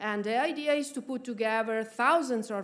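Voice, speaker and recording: With audible room echo, a woman in an Italian accent speaks at a fairly high pitch with ordinary pitch variation. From Italy, Florence. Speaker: research institute official. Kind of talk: conference speech. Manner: halting, many fillers.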